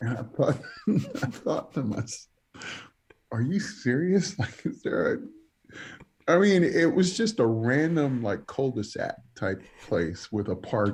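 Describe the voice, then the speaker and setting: A man talks at a fairly slow pace with a somewhat breathy, fairly high voice. His pitch swings very widely, and long, frequent pauses recur. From New York, the Bronx. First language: Spanish. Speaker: evangelist preacher. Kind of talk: casual interview chat.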